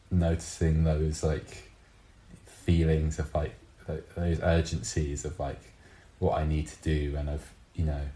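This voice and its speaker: A man speaks at a fairly slow pace, his voice somewhat breathy and dark and mellow in tone, with monotone, flat intonation. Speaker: artist, intersex guest. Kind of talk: casual chat. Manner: halting, many fillers.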